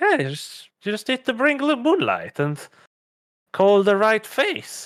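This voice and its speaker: A man puts on a character voice, pitched extremely high for a man, with very wide pitch swings and a fairly slow pace. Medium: actual play. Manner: halting, hesitant.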